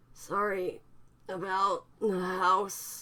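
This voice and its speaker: This female-sounding voice is a put-on character voice, raspy and set at a middle pitch. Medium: read story. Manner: weak and breathless.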